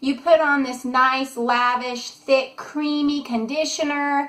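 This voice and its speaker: Raised and projected, a woman's high-pitched voice has a bright, sharp tone and fairly even intonation. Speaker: curly hair care educator. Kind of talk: casual talk to camera.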